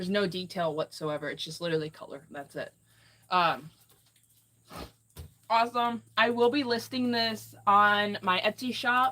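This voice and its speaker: With an American accent, a woman is speaking. Her tone sounds bright and sharp. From Ohio. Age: 20s. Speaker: artist streamer. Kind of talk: casual live stream chat.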